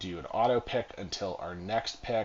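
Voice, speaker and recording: This is a male speaker. The rise and fall of his pitch is typical. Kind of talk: casual gaming commentary. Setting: home recording, tinny mic.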